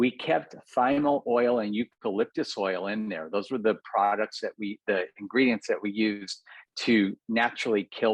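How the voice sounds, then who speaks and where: The sound is dry and close with no echo. A man with a normal speaking voice talks at a fairly low pitch, with ordinary pitch variation. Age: 60s. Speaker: cosmetic dentist and entrepreneur. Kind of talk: podcast interview.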